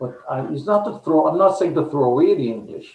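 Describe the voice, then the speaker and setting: This man has a Guyanese accent. His pitch is fairly high. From Guyana, east coast of Demerara. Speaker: poet. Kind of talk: interview.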